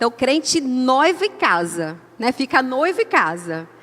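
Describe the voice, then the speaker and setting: A woman's high-pitched voice with a strong São Paulo interior accent. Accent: paulista caipira accent with strong R. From São Paulo state, Brazil (Limeira, countryside). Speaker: women's ministry speaker. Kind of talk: sermon. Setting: church.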